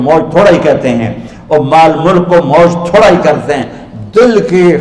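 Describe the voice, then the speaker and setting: A man speaks with ordinary pitch variation. Noticeable background noise sits behind his voice. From Pakistan, Punjab. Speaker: Islamic preacher. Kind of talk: religious sermon.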